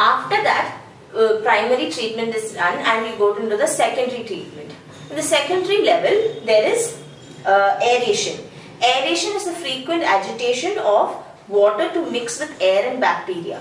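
Audible room echo and light background noise surround a woman speaking at a high pitch. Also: moderate pace. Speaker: teacher trainer. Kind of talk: tutorial. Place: home room. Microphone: camera far.

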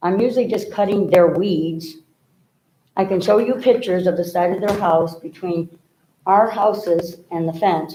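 A woman at a medium pitch, dark and mellow in tone, at a moderate pace with fairly even intonation. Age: 60s. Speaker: resident addressing a commission. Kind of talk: public comment at a meeting. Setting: public meeting.

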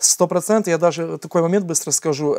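A dark, mellow tone at a fairly quick pace against a quiet background. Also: man. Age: 30s. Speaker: nonprofit founder and adoptive father; talk show guest. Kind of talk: TV interview. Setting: TV studio. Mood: earnest, reflective storytelling. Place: studio. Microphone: lapel.

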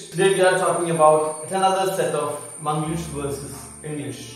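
This man's voice sits high in pitch, with monotone, flat intonation. Strong room echo surrounds it, along with light background noise. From Kerala, India. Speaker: English teacher. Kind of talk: tutorial. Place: studio.

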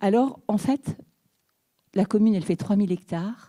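A woman speaks at medium pitch with a dark, mellow tone. Her voice is somewhat breathy over a quiet background. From Brittany, France. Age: 60s. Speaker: mayor. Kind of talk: talk; panel discussion talk. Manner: halting. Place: hall. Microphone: handheld.

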